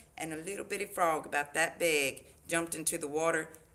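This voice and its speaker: A woman with a Southern US accent. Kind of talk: casual chat.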